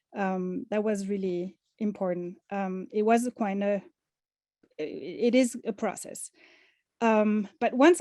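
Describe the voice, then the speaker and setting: A woman speaks at a fairly slow pace with a non-native accent. Her voice sits fairly high, with ordinary pitch variation. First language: not English. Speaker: artist and past award recipient. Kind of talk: testimony. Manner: halting, many fillers and restarts.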